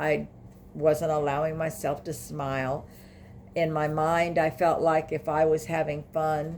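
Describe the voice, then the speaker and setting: A woman speaks at a very deep, low pitch and a fairly slow pace. Her intonation stays monotone and flat. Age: 60s. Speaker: grief vlogger. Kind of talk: personal testimony vlog. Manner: halting, with many fillers.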